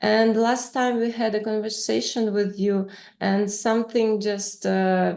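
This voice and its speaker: A woman with a non-native accent speaks fairly slowly at a fairly high pitch, in a flat monotone with very even loudness. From Ukraine. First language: Russian. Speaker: author and interviewer. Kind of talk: casual interview. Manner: halting, many fillers.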